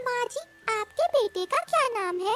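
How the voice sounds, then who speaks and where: In a squeaky, cartoonish character voice, a woman talks over faint music in the background. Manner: respectful, addressing elders politely.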